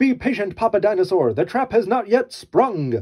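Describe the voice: Loud and high-pitched, a man's put-on character voice has a slightly mellow tone, a slightly husky edge and big pitch swings. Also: moderate pace.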